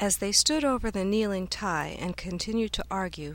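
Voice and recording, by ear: Ordinary pitch variation, with reading aloud in a natural voice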